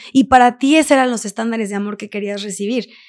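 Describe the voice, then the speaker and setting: Recorded very cleanly against a silent background, a woman speaks at a high pitch. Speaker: entrepreneur and podcaster. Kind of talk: casual interview. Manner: talkative.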